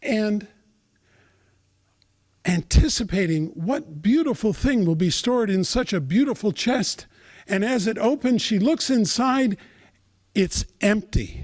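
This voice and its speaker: Over a quiet background, a high-pitched man uses lively intonation at a fairly slow pace with long, frequent pauses. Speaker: storyteller. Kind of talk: live spiritual storytelling.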